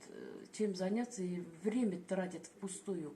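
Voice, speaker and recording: Very slowly, a woman talks in a medium pitch. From Bashkortostan, Russia. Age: old. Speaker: retired Wikipedia volunteer. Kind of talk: interview answer.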